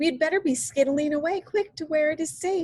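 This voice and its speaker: A woman uses a squeaky, put-on character voice with extremely high pitch. She talks at a fairly quick pace. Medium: read story. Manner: ungrammatical, whimsical word choices.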